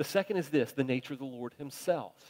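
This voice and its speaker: In a normal speaking voice, a man talks with a fairly high pitch and ordinary pitch variation, the sound dry and close with no echo. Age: 50s. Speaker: pastor. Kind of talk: sermon.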